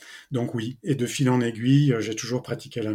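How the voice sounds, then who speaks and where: Somewhat breathy, with a dark, mellow tone, a man speaks at a fairly slow pace, medium pitch and fairly even intonation on a very clean recording with a silent background. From France, Brittany. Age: 50s. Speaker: entrepreneur and ocean conservation association founder. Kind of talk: interview. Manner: halting, many hesitations.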